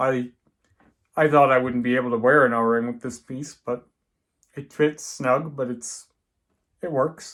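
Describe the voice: A man's fairly bright voice at medium pitch, fairly slow and with fairly even intonation.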